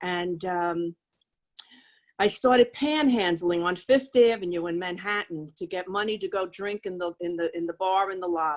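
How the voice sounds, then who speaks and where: An unremarkable speaking voice comes from a woman with an American accent. Her pitch varies in an ordinary way. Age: 60s. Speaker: recovering alcoholic speaker. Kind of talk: testimony.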